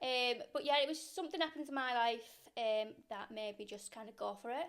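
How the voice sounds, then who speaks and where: A high-pitched woman keeps up a fairly quick pace, her pitch varying in an ordinary way. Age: 30s. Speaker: beauty business owner, podcast co-host. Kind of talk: casual chat.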